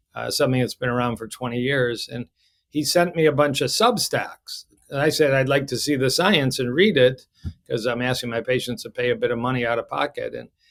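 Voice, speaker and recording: At a fairly quick pace, a man with an American accent talks at a medium pitch with ordinary pitch variation in an unremarkable speaking voice. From US Midwest, Detroit. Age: 60s. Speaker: cardiologist. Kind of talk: podcast interview.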